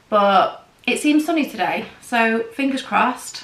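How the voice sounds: The voice has a fairly bright tone and ordinary pitch variation, with audible room echo. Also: woman.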